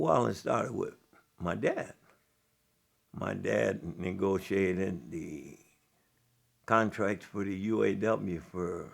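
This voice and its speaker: In an American accent, a man speaks with a very deep, low pitch and vocal fry. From Illinois (Joliet). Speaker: jazz historian and storyteller. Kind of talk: interview. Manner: reflective.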